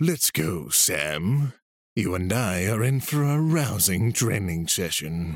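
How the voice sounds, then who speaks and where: Using a put-on character voice, a man makes very wide pitch swings. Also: fairly low pitch for a man, fairly slow pace. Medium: read story. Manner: eccentric, scatterbrained; gruff, blunt, demanding.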